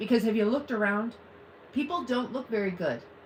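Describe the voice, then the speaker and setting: A woman with an American accent talks in an animated tone at a high pitch, with noticeable background noise behind her. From US Midwest (Ohio). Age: 50s. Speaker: live streamer. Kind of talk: casual chat. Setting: live stream at home.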